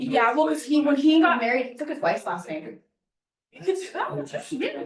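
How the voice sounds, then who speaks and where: A woman speaks at a high pitch with very wide pitch swings and big swings in loudness. Her speech has long, frequent pauses, and room echo is audible. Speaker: flight ground school instructor. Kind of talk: classroom lecture.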